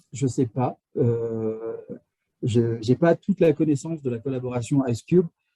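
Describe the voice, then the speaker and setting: This dark, mellow voice is somewhat breathy and moves at a fairly slow pace with ordinary pitch variation. The sound is dry and close, with no echo. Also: man, medium pitch for a man. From France. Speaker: astrophysics engineer at a polar research station. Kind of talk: live Q&A talk. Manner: halting, many fillers and restarts.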